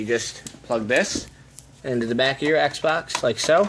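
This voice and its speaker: A man talks at a fairly high pitch with lively intonation. Noticeable background noise is present. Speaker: gaming tech youtuber. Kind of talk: tutorial. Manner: fast; casual, conversational.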